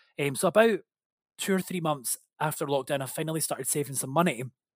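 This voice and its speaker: With a Scottish accent, a man talks at a very fast pace in a fairly high voice, captured in a very clean recording with a silent background and a dry, close sound with no echo. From Scotland. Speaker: podcast guest sharing sobriety story. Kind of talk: personal testimony in casual chat.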